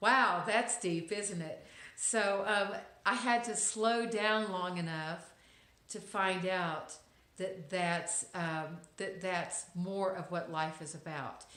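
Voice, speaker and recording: A woman in a Texas accent, very slow, with a bright, sharp tone, medium pitch and ordinary pitch variation, plus audible room echo. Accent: Texas accent, noticeable. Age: middle-aged. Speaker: lifestyle vlogger. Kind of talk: inspirational monologue to camera. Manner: hesitant, many fillers.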